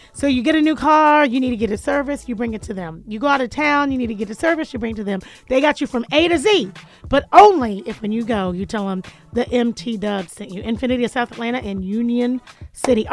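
Music plays behind a woman talking at a very fast pace in a high pitch. Her intonation is lively and her tone energetic. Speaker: radio show host. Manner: jokey, energetic.

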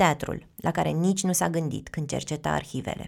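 Recorded very cleanly against a silent background, a woman speaks with vocal fry. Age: 30s. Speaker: podcast host and narrator. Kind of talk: scripted narration.

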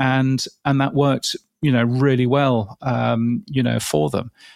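Speaking with a British accent at a moderate pace, a man uses a medium pitch and ordinary pitch variation in a very clean recording with a silent background. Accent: English, clearly British. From England. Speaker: podcast industry expert. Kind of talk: casual interview chat. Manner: measured, hesitant with filler words.

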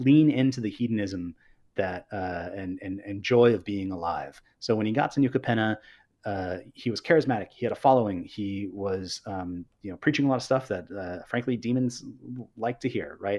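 An ordinary speaking voice from a man with an American accent, fairly low in pitch, at a moderate pace with ordinary pitch variation, over a quiet background. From Northern California. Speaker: game designer, creative lead. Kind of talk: casual interview. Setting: livestream.

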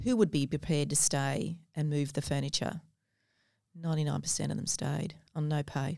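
A woman's very deep, low voice with an Australian accent, dark and mellow in tone with vocal fry, fairly even intonation and a moderate pace in a very clean recording against a silent background. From Australia, Gold Coast. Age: 50s. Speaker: businesswoman and mentor. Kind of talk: interview. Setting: studio.

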